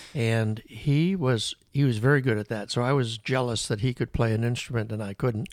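The man has an unremarkable speaking voice at medium pitch. He keeps a moderate pace on a very clean recording with a silent background. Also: ordinary pitch variation, hardly any pauses. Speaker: podcast guest, father of the host. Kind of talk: casual interview chat.

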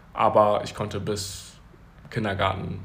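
A man's voice comes through with audible echo from the room. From Germany. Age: 20s. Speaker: podcast guest. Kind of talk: casual interview. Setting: Uganda, near Kampala.

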